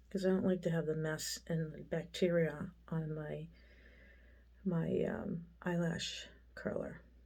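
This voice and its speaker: At a very slow pace, a woman speaks with audible room echo around her. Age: 60s. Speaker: makeup vlogger. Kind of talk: tutorial. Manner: casual, rambling with fillers.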